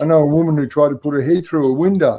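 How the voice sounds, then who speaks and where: This man talks at a fairly quick pace with a fairly high pitch and fairly even intonation, in an Australian accent. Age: 60s. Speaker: home grower with Parkinson's. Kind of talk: casual chat. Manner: halting.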